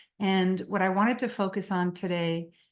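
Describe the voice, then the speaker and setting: With a French Canadian accent, a woman speaks in a fairly low pitch and monotone, flat intonation against a quiet background. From Quebec. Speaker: psychotherapist, webinar presenter. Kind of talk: webinar presentation.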